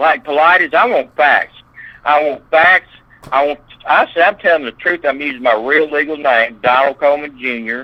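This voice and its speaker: A man with a Southern US accent and a fairly high pitch. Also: ordinary pitch variation, moderate pace. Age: 60s. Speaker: eyewitness interviewee. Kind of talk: interview.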